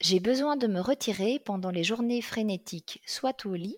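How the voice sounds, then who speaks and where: Over a very clean recording with a silent background, a woman speaks at a very slow pace in a somewhat breathy voice with ordinary pitch variation. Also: dry, close sound with no echo. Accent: slight Belgian. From Belgium, Liège region. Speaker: career coach. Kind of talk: interview. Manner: hesitant with fillers.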